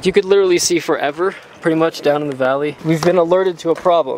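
At a very fast pace, a man with a high voice speaks with fairly even intonation, the sound dry with no echo and light background noise behind him. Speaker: travel vlogger. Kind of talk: casual vlog chat. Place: open country. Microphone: phone near.

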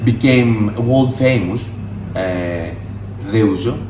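A man at a very slow pace with ordinary pitch variation, light background noise and audible room echo. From Greece. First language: Greek. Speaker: mixologist. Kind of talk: tutorial. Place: shop. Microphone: phone near.

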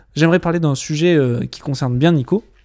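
This man's voice has a dark, mellow tone and a dry, close sound with no echo. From French Alps (Gap). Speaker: videographer and documentary filmmaker. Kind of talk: casual podcast chat.

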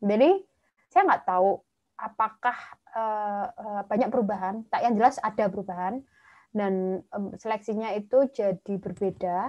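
Against a quiet background, a woman with a cheerful tone speaks at a fairly slow pace and fairly high pitch, with ordinary pitch variation. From Java, Indonesia. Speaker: medical doctor and master's student; webinar presenter. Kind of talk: online presentation. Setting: video call livestream. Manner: chatty, talkative; cheerful, laughs often. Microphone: video call.

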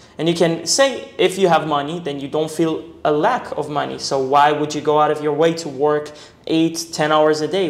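Audible room echo surrounds a man who speaks at a moderate pace with a fairly high pitch. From Israel. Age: 20s. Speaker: e-commerce entrepreneur; interview guest. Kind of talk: casual interview. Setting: in a condominium. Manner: casual, filler-heavy. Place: home room. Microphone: lapel.

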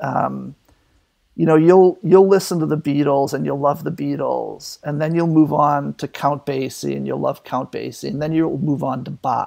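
Speaking at a moderate pace with an American accent, a man is heard in a very clean recording with a silent background. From Boston suburbs, Massachusetts. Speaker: painter and art professor. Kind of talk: casual interview conversation.

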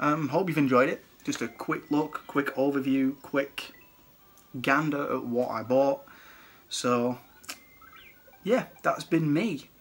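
This man has a British accent and ordinary pitch variation. He speaks very slowly, with long, frequent pauses. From UK. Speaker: retro gaming YouTuber and collector. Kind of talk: product showcase video. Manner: casual, chatty. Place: home room. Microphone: phone near.

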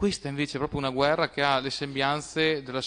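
A man talks at a very fast pace in a fairly high pitch. His intonation is monotone and flat. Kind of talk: council debate speech.

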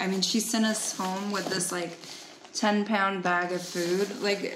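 A woman speaks at a fairly slow pace. There is noticeable background noise. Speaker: travel vlogger. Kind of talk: casual chat. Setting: outdoors. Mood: warm, grateful. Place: home room. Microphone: phone near.

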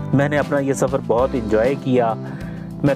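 A man talks with a dry sound with no echo while clear music plays in the background. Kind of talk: travel commentary. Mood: calm, admiring. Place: car. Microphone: phone near.

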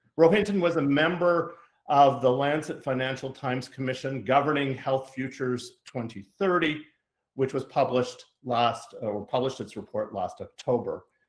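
There's audible room echo but a quiet background as a man speaks. His pace is moderate and his pitch varies an ordinary amount. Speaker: event host introducing speaker. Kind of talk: formal introduction. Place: home room. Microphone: video call.

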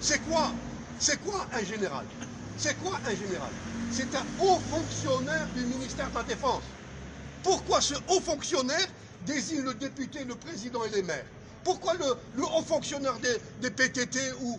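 A man's extremely high-pitched voice moves at a moderate pace with long, frequent pauses, against noticeable background noise. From Algeria. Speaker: sociology professor. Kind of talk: political commentary. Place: street. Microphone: phone near.

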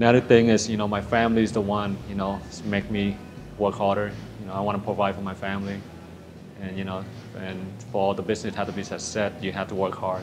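Music plays behind a man talking at a very fast pace. His fairly low voice stays flat in a monotone. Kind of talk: interview answer. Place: bar.

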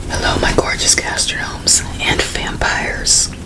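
A woman at a very slow pace over loud background noise. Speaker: mukbang host. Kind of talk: casual vlog chat. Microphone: studio mic.

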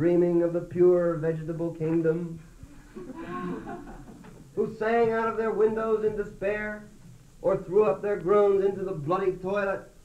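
Fairly slow speech in an American accent over noticeable background noise. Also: man. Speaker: poet. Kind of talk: poetry reading.

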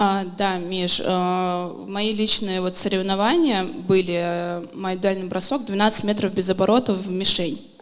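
The delivery is very slow, with fairly even intonation. Audible room echo surrounds the voice. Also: woman, medium pitch for a woman. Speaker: knife thrower and coach. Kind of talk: interview on stage.

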